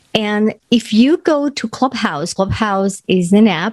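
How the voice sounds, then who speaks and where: A woman with a strong Spanish accent speaks at a fairly slow pace in a dark, mellow tone. Her pitch varies in an ordinary way, and the sound is dry and close with no echo. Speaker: podcast host and confidence coach. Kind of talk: motivational podcast monologue.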